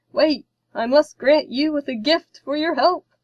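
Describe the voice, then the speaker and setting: Here a woman uses a put-on character voice with a high pitch. Her intonation is fairly even and her pace moderate. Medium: read story. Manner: earnest, courtly.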